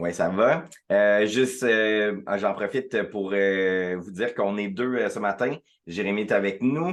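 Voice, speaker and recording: Against a quiet background, a man with a fairly low pitch speaks at a very slow pace with ordinary pitch variation. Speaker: director of a regional community organization network. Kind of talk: online presentation to members. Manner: many filler hesitations (euh).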